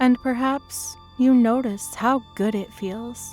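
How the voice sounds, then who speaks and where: Over background music, a woman speaks very slowly at a fairly high pitch with fairly even intonation. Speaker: hypnotist. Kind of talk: guided hypnosis session. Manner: slow, rhythmic.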